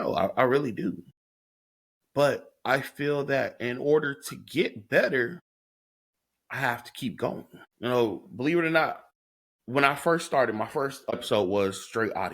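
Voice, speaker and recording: A man with vocal fry and a fairly high pitch speaks at a fairly slow pace with ordinary pitch variation. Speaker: podcast host. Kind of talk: solo podcast monologue. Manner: halting, repeats words.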